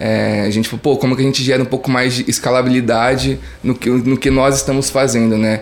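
Against noticeable background noise, a man speaks quickly at a medium pitch with monotone, flat intonation. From interior of São Paulo state, Brazil. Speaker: startup founder. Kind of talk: interview.

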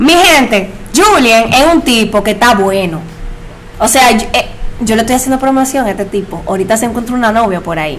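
Lively intonation and a fairly quick pace mark this woman's fairly high voice. Noticeable background noise and audible room echo fill the recording. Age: 30s. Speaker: podcast host. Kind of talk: casual chat.

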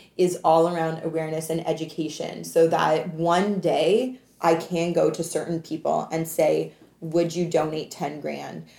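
A woman speaks at a fairly low pitch with a Canadian accent. Noticeable background noise is present. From Canada. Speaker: entrepreneur and anti-trafficking advocate. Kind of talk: casual interview.

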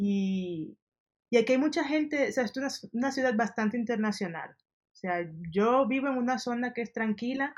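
A woman talks at a moderate pace in a high voice. Her intonation is lively, with big swings in loudness. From Dominican Republic. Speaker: service designer. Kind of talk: interview.

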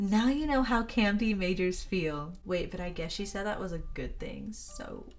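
A woman with an American accent and medium pitch talks at a moderate pace with ordinary pitch variation and hardly any pauses. Audible room echo and noticeable background noise surround her voice. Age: 20s. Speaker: podcast host, college student. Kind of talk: casual chat.

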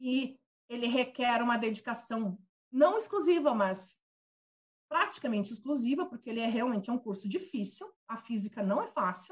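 At a moderate pace, a woman talks with a high pitch. Very wide swings run through her pitch. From Brazil, Santa Catarina (Lages). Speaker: physics teacher. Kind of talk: interview.

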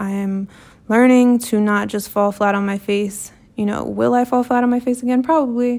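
The speaker has a plain, everyday voice. Intonation is fairly even and the pace moderate. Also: woman, fairly high pitch for a woman. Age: 20s. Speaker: podcast host and law student. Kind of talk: personal monologue. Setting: recording alone at night. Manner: casual, conversational.

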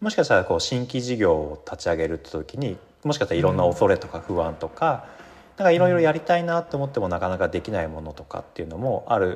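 Very fast and with vocal fry, a man talks at medium pitch, his pitch swinging very widely and his loudness shifting a lot. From Japan, Yamanashi. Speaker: workshop facilitator and university lecturer. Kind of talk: casual interview.

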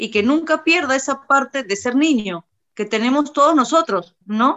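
A woman speaks with a high pitch. Her pitch rises and falls to an ordinary degree. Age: 30s. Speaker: tattoo artist and singer. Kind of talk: casual chat.

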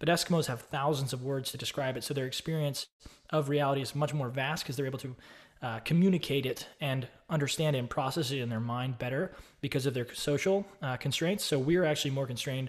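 A man with an American accent speaks at a very fast pace in a fairly high, somewhat breathy voice with ordinary pitch variation. The recording is very clean, with a silent background. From Austin, Texas. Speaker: online course creator and real estate investor. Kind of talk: casual solo video talk about a book. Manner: casual, with fillers and repeats.

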